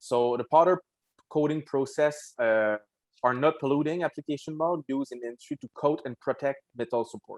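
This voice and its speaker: A man with a Quebec accent and fairly high pitch talks at a fairly quick pace with ordinary pitch variation. His loudness swings widely, in a dry, close sound with no echo. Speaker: wheel company representative. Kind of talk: casual podcast chat. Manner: halting, many fillers.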